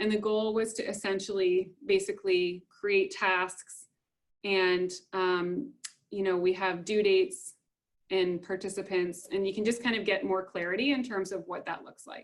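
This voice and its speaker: A woman's normal speaking voice at a medium pitch, with fairly even intonation, moderate pace and big swings in loudness. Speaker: business webinar presenter. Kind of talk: webinar presentation.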